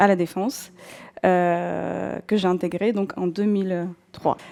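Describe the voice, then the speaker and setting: With a Russian accent, a woman speaks at a medium pitch in a dark, mellow tone and fairly even intonation. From southern Russia, North Caucasus. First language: Russian (speaking French). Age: 40s. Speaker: former travel agency manager turned bookseller. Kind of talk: personal testimony. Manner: hesitant, many fillers.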